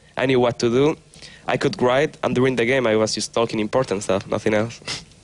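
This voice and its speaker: Over noticeable background noise, a man with a Spanish accent talks at a very fast pace, at medium pitch with ordinary variation and very even loudness. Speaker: pro gamer. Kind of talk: interview.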